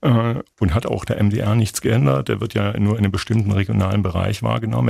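Vocal fry from a man with a fairly low pitch and a dark, mellow tone. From Thuringia, eastern Germany (Gotha). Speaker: literature professor and author. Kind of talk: radio interview.

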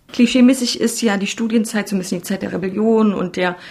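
A fairly high, somewhat breathy female voice at a fairly quick pace with ordinary pitch variation. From Saxony, Germany. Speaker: podcast host, journalist. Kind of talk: narration and interview.

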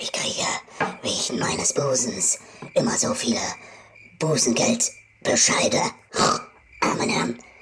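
A whispered voice moves fairly slowly, with long pauses coming often. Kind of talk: comedy sketch voicemail, playing a crackpot professor and a bimbo-type lady in turns. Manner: animated, exaggerated character voices, pompous professor then dim, drawling lady.

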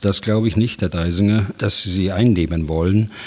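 This man's voice sits very deep and low, and his intonation stays fairly even. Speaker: retired general, military expert. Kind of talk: expert interview.

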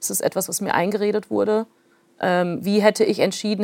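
Her intonation monotone and flat, a woman speaks in a dry, close sound with no echo. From Soviet Union, raised in North Rhine-Westphalia. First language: Plautdietsch (speaking German). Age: 30s. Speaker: author. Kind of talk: interview.

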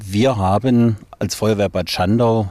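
A man's fairly even intonation in a very clean recording with a silent background. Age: 50s. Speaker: volunteer fire chief. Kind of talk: interview testimony. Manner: halting.

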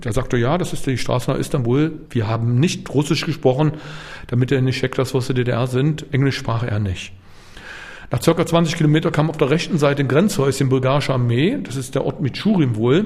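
It is a plain, everyday voice, moving at a fairly quick pace with ordinary pitch variation. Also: man, medium pitch for a man. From East Berlin, Germany. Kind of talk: interview testimony. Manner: casual.

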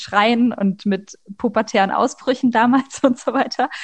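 A woman speaks with a high-pitched voice. Her intonation stays fairly even. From Leipzig, Saxony. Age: 20s. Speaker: master's student. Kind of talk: personal testimony interview. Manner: hesitant, many fillers.

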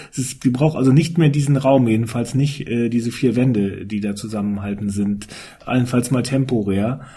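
A man's dark, mellow, somewhat breathy voice sits at a medium pitch, moving at a moderate pace with ordinary pitch variation. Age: 50s. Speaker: newspaper editor-in-chief. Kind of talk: casual panel discussion.

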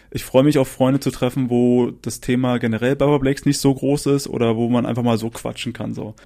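At a fairly quick pace with hardly any pauses, a man speaks at a medium pitch in a monotone, flat intonation. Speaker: musician and psychologist. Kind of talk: casual interview. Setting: at home in a shared flat.

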